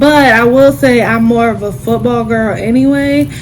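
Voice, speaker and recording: Speaking at a fairly slow pace, a woman is heard with noticeable background noise and audible room echo. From US South, Durham, North Carolina. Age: 20s. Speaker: YouTuber. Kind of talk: casual Q&A vlog.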